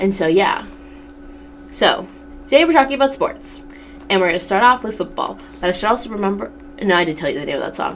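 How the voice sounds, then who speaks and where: Noticeable background noise sits behind a woman with an American accent. Her pitch is medium. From Massachusetts, New England. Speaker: student radio host. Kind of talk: casual radio talk show monologue. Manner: chatty, filler-heavy.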